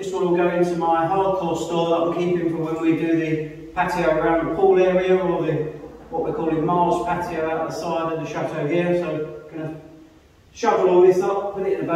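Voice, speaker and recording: In a room with strong echo, a man speaks at a fairly quick pace, his high pitch held monotone and flat. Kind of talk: casual vlog chat. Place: empty room.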